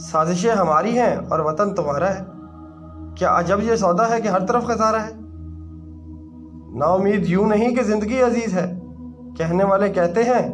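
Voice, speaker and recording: Music plays behind a man with a high pitch. His pitch varies in an ordinary way. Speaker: voice-over artist. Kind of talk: poetry reading.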